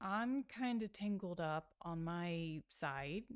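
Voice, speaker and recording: Soft-spoken, a woman is heard here. The recording is very clean and the background silent. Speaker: chess streamer. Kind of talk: live commentary. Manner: halting.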